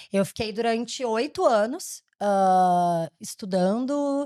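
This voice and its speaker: With a southern Brazilian accent, a woman speaks using lively intonation. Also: very clean recording, silent background. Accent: gaúcho accent, still present. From Rio Grande do Sul, southern Brazil. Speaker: education company founder and CEO. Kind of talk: interview.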